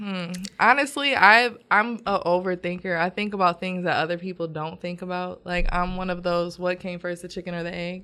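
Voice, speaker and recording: A woman with a plain, everyday voice speaks in an American accent at medium pitch and a moderate pace, with ordinary pitch variation. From Michigan, Grand Rapids. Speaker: painter, visual artist. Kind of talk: casual interview chat. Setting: podcast studio.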